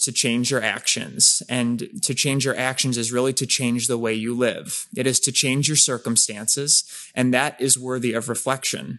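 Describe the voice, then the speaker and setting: A man talks at a moderate pace in a medium pitch, with hardly any pauses. His is an unremarkable speaking voice. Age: 20s. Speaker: podcast co-host. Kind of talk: casual chat.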